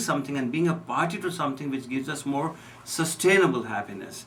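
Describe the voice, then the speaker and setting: A man with an Indian accent talks at a fairly high pitch, with audible room echo around him. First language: Hindi. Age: 60s. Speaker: physician. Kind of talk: radio interview. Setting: radio studio.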